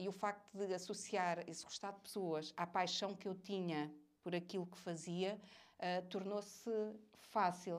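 In a very clean recording with a silent background, a woman talks at a fairly slow pace in a flat monotone, her loudness swinging widely. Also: medium pitch for a woman. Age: 40s. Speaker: business executive. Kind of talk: interview.

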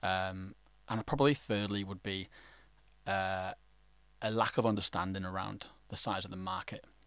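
In a London accent, a man speaks with a very deep, low pitch and fairly even intonation, leaving long, frequent pauses. The recording is very clean, with a silent background. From England. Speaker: startup ecosystem partnerships lead. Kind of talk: podcast interview.

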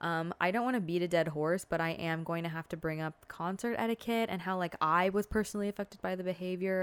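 A woman talks at a fairly quick pace in a very clean recording with a silent background. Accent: Californian. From Southern California. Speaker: podcaster. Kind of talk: casual monologue. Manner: filler-heavy, casual.

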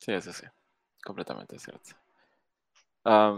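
A man speaks at a fairly slow pace. The sound is dry and close with no echo. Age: 20s. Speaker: podcast host. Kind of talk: casual interview.

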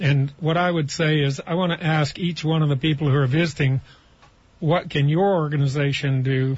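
Somewhat breathy, a man speaks at a moderate pace with a fairly high pitch and fairly even intonation. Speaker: housing nonprofit president. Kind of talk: radio panel discussion. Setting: studio.

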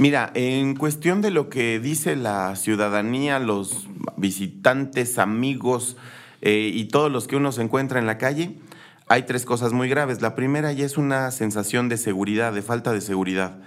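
A man with an unremarkable speaking voice, moderate pace and ordinary pitch variation. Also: medium pitch for a man. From Querétaro, Mexico. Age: 40s. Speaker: political candidate. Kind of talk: interview.

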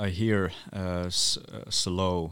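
Speaking in a monotone, flat intonation, a man with a Northern Scandinavian accent has a very deep, low voice. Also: very clean recording, silent background. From Sami village in northern Finland. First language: North Sami. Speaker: Sami writer, musician and activist. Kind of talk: interview conversation. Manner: hesitant, many fillers.

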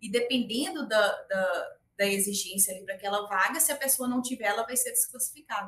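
Her pitch fairly high, a woman speaks at a moderate pace with ordinary pitch variation and hardly any pauses. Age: 30s. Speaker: tech recruiter and career consultant. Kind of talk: interview conversation.

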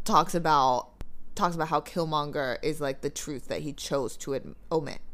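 Very clean recording, silent background. A woman talks at a moderate pace with a very deep, low pitch. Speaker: podcast co-host. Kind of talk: casual podcast chat about a movie.

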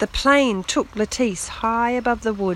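With ordinary pitch variation, the recording offers plain reading aloud.

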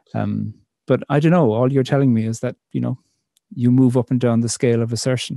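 With an Irish accent, a man speaks in a dark, mellow tone and fairly even intonation, recorded dry and close with no echo. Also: medium pitch for a man, fairly quick pace. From Ireland. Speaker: poet and theologian. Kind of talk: interview conversation.

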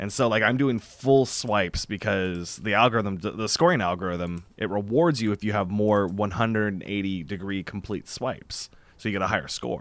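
Hardly pausing, a man talks at a moderate pace in an unremarkable speaking voice, fairly low in pitch with ordinary pitch variation, in a very clean recording with a silent background. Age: 30s. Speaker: VR podcast host. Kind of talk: casual chat.

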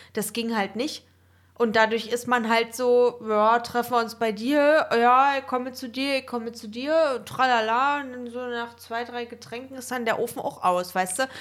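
A high-pitched woman at a moderate pace, with fairly even intonation. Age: 20s. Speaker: podcast co-host. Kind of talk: casual chat.

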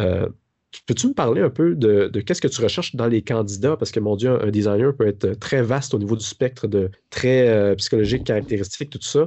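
A man at a medium pitch, fairly quick in pace, with ordinary pitch variation. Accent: Quebec. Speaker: podcast host, design teacher. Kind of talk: podcast interview.

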